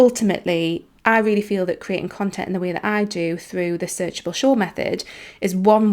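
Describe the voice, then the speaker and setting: With a slight Geordie accent, the speaker talks at a fairly quick pace on a very clean recording with a silent background. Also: woman. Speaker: business coach and podcast host. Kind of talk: podcast monologue. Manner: animated; casual, filler-heavy.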